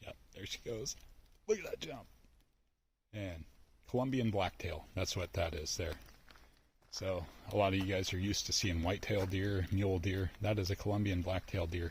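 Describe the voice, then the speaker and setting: With long, frequent pauses, a man speaks in a fairly low, somewhat breathy voice with fairly even intonation. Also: moderate pace. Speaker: outdoors vlogger. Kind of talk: casual vlog narration while hiking. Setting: outdoors in a forest. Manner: hushed, keeping voice low.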